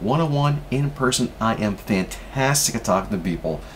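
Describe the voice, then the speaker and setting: Lively male intonation, noticeable background noise behind it. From Canada. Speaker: vlogger with a stutter. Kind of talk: personal vlog. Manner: halting, repeats sounds.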